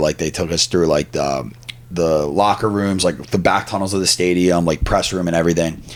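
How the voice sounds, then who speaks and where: With a Philadelphia accent, a man talks at a fairly quick pace in a very deep, low pitch with ordinary pitch variation. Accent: Philadelphia (Delco) accent, noticeable. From Delaware County, Pennsylvania (Philadelphia area). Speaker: stand-up comedian. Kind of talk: casual chat. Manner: animated.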